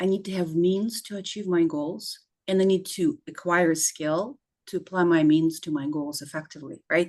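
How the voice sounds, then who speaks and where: Against a quiet background, a woman with a non-native accent speaks at a fairly slow pace. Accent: foreign accent, still noticeable. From former Soviet Union. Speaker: clinical psychologist. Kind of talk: interview.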